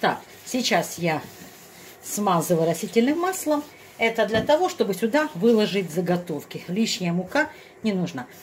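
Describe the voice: At a moderate pace, the voice moves in big pitch swings over faint background noise. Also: woman, medium pitch for a woman.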